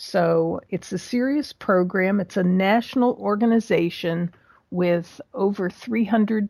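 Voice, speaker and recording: A woman with an American accent and an ordinary speaking voice, medium in pitch with ordinary variation, at a fairly slow pace. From Pittsburgh area, US. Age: 60s. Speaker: small business mentor, retired business owner. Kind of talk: casual interview.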